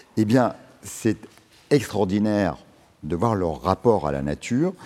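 With a dark, mellow tone and fairly low pitch, a man speaks at a fairly slow pace and with lively intonation. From Lorraine, near Nancy, eastern France. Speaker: urban farm co-founder. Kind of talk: public panel discussion. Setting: stage with audience.

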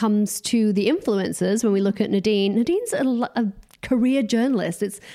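Fairly high in pitch with a dark, mellow tone, a woman speaks with ordinary pitch variation and few pauses.

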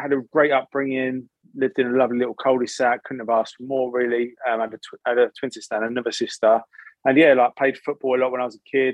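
This man speaks very fast with an English accent. His pitch is medium, and his loudness swings widely. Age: 30s. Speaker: sobriety influencer. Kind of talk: casual chat. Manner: energetic.

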